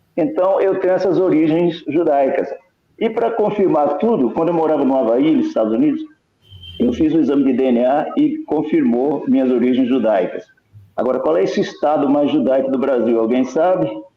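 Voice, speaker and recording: A man speaks in a fairly high voice at a moderate pace, his intonation lively and his loudness very even, with audible room echo. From Brazil, São Paulo. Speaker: Bible prophecy speaker. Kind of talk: online discussion / talk. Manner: halting, self-correcting.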